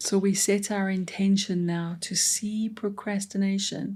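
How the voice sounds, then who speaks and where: In a very clean recording with a silent background, a woman of medium pitch speaks very slowly in a gentle, calm, somewhat breathy voice with a dark, mellow tone and monotone, flat intonation. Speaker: meditation guide. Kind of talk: guided meditation. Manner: slow, gentle, calm.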